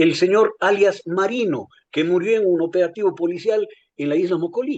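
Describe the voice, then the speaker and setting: A man speaks at a fairly slow pace. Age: 60s. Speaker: political commentator. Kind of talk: political analysis discussion. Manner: halting, repeats words.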